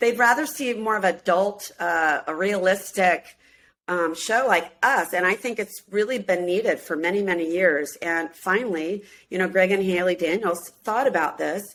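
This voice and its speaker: A woman with an American accent speaks at a moderate pace in a medium pitch with ordinary pitch variation, an unremarkable speaking voice, on a very clean recording with a silent background. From US Midwest, Minneapolis. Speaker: singer and reality show cast member. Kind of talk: casual interview chat.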